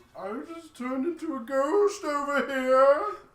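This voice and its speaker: This woman uses a put-on character voice pitched high. Her speed is moderate. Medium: game stream. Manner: melodramatic.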